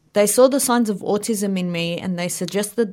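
A woman with an Australian accent, in a very clean recording against a silent background. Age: 20s. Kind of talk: interview.

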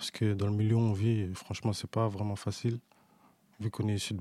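A man's fairly low, dark and mellow voice at a very fast pace, in a monotone, flat intonation, on a very clean recording with a silent background. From Paris suburbs, Seine-Saint-Denis. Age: young. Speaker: young footballer. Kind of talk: interview. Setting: studio.

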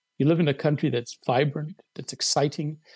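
A man talks at a moderate pace in a fairly high, somewhat breathy voice. The sound is dry and close, with no echo. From South Africa. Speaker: columnist and writer. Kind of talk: casual chat. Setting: video call.

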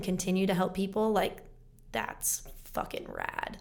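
Audible room echo and a moderate pace. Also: woman. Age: 20s. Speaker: actress and singer-songwriter. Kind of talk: casual chat.

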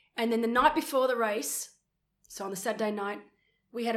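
With an Australian accent, a woman speaks in a fairly high pitch. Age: 40s. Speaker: retired pro triathlete and commentator. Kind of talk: casual chat. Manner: animated.

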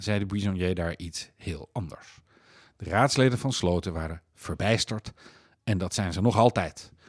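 Heard on a very clean recording with a silent background, a man with a plain, everyday voice and fairly low pitch speaks at a moderate pace with ordinary pitch variation. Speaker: magazine editor-in-chief and podcast host. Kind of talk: podcast introduction and outro, scripted-sounding narration. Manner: formal, clear, storytelling.

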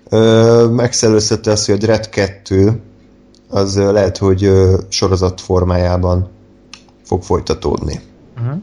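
Music plays in the background as the speaker goes at a very slow pace. Long, frequent pauses break up fairly even intonation. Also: man, fairly low pitch for a man. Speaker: podcast host. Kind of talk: casual chat.

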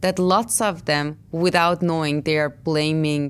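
A woman speaks at a moderate pace in a Persian accent, her pitch very deep and low. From Iran. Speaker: artist. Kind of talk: interview.

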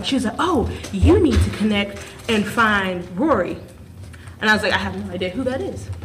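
A woman is speaking in a room with audible echo. There is noticeable background noise as well. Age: 20s. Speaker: podcast host and stage actor. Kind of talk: casual chat.

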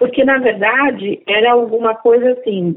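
A woman speaks with a fairly high pitch at a moderate pace. She has an ordinary speaking voice. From Brazil, Alagoas (Northeast). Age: 50s. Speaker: entrepreneur. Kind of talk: interview.

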